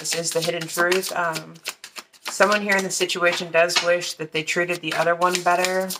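A woman at a moderate pace against loud background noise. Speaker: card reader. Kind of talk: tarot reading commentary. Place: home room.

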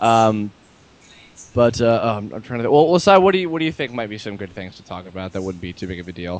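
A man with a medium pitch talks at a very fast pace. His pitch swings very widely and his loudness swings a lot. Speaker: amateur flash animator. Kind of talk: casual chat.

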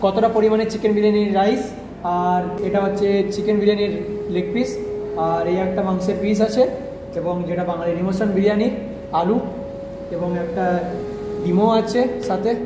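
A man speaks at a high pitch in a flat, monotone way. Audible room echo and noticeable background noise surround him. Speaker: food vlogger. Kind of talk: casual vlog chat. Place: cafe. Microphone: phone near.

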